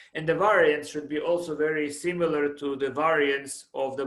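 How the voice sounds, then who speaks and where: A man speaks at a fairly high pitch, with audible room echo around him. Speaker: professor. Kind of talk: lecture. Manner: halting, self-described stuttering.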